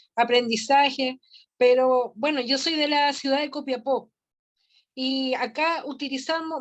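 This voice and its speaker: A woman's high-pitched voice at a fairly slow pace. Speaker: family mediator. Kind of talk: casual chat. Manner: halting.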